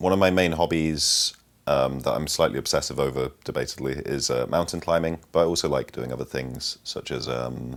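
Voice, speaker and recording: The man's voice is very deep and low. He talks at a moderate tempo, and his pitch varies in an ordinary way. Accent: Yorkshire. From northern England, Sheffield. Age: 20s. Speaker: mountain climber. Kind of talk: interview storytelling. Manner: hesitant, many ums.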